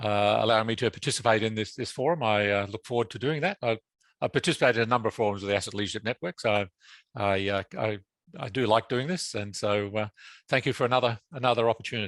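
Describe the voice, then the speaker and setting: Speaking very fast in an Australian accent, a man uses ordinary pitch variation. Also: medium pitch for a man, dry, close sound with no echo. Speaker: asset management consultant. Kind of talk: webinar presentation. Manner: halting, many fillers and repetitions.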